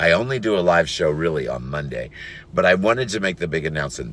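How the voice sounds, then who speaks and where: A man with a very deep, low pitch speaks with lively intonation and vocal fry. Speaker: online business vlogger and podcaster. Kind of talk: casual vlog monologue. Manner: rambling, many fillers; casual, conversational.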